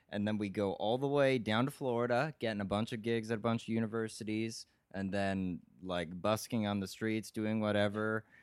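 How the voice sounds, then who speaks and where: In a plain, everyday voice, a man talks at a fairly low pitch and moderate pace with fairly even intonation, captured in a very clean recording with a silent background. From California. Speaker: saxophonist. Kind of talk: casual chat. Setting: sharing one mic on a couch.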